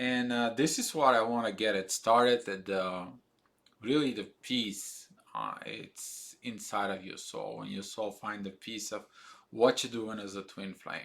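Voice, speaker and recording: A man at a fairly low pitch and fairly slow pace, with fairly even intonation and big swings in loudness. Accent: non-native. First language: not English. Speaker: spiritual video blogger. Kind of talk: casual monologue. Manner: halting, many fillers.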